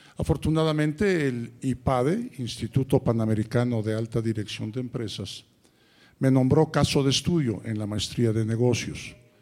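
A man speaks at a moderate pace with ordinary pitch variation. His tone is dark and mellow, and his pitch is medium. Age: 70s. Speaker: college founder and author. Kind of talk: conference panel talk.

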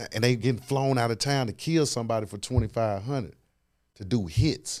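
This man has a fairly low pitch and a dark, mellow tone with vocal fry, talking at a moderate pace with lively intonation in a very clean recording with a silent background. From US South, Memphis, Tennessee. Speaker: sports agent. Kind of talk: casual interview.

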